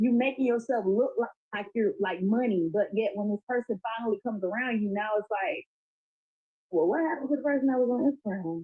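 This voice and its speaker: Her voice is fairly high, with an animated tone and lively intonation. The woman talks at a very fast pace. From Florida. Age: 30s. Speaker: podcast guest. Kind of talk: casual chat.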